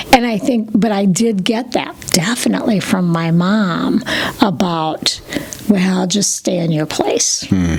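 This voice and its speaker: Woman at medium pitch with an American accent, lively in intonation, at a fairly slow pace amid noticeable background noise. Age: 60s. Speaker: yoga instructor. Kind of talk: interview answer.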